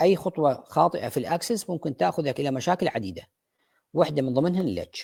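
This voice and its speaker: On a very clean recording with a silent background and a dry, close sound with no echo, a man with an Iraqi accent speaks in a dark, mellow tone with lively intonation. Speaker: dentist lecturer. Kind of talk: lecture. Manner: halting, many fillers.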